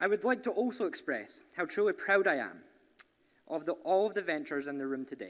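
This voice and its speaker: A high-pitched man with a Scottish accent talks at a fairly quick pace, his pitch swinging very widely. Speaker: entrepreneurship program leader. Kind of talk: event speech. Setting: stage with audience.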